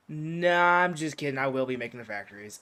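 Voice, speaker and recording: Pitch variation stays ordinary for this man. He talks very quickly. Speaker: gaming youtuber. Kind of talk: casual gameplay commentary. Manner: halting, filler-heavy.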